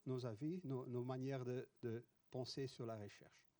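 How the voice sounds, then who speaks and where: In a Dutch accent, the voice has a dark, mellow tone. The sound is dry and close, with no echo. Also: man. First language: Dutch (speaking French). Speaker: professor. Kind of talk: conference talk. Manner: halting.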